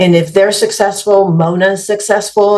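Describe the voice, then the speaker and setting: A woman talks with a Spanish accent at a moderate pace. Her intonation is fairly even. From Mexico. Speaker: business executive. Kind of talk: podcast interview.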